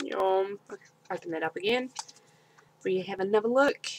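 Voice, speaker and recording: A woman with a New Zealand accent at a fairly quick pace. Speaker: video blogger unboxing beauty subscription box. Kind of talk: casual unboxing and product review vlog. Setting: home, webcam video. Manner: chatty, animated, informal. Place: home room. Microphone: webcam.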